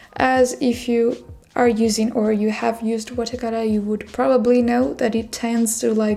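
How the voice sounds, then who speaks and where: Music plays in the background as a woman with a fairly high pitch speaks at a moderate pace with fairly even intonation. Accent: non-native. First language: not English. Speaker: artist. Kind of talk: tutorial. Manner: relaxed, with filler words.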